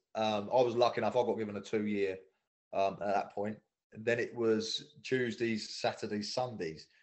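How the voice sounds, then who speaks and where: With a southeast English accent, a man of medium pitch talks at a fairly quick pace. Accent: south-east English. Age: 30s. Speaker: former footballer. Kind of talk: casual chat.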